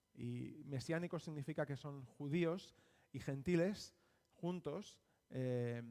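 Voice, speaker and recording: In a Spanish accent, a man speaks at a fairly high pitch with a dark, mellow tone and ordinary pitch variation. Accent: Spanish (Spain). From Spain, Barcelona. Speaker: missionary preacher. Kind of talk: sermon. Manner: halting.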